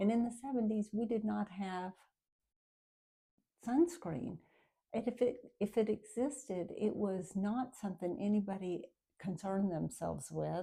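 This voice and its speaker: A woman speaks at a moderate pace in a somewhat breathy, medium-pitched voice with ordinary pitch variation and long, frequent pauses. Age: 60s. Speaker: lifestyle vlogger. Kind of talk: casual talk to camera. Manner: conversational with frequent fillers.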